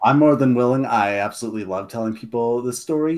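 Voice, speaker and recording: This is a plain, everyday voice from a man at medium pitch. His intonation is lively. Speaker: guest lore expert and writer. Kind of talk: casual podcast chat.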